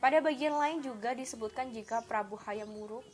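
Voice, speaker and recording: A woman speaks with lively intonation. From Indonesia, Kediri, East Java. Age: 20s. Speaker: student. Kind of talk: educational presentation. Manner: halting.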